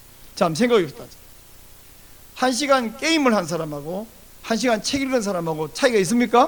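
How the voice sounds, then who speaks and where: A man's high-pitched voice swings very widely in pitch, with noticeable background noise behind it. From South Korea, countryside near Busan. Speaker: pastor. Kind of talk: sermon.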